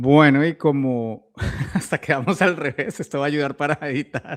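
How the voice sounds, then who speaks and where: A man with a Colombian accent talks at a fairly high pitch, the sound dry and close with no echo. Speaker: podcast host. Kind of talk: interview.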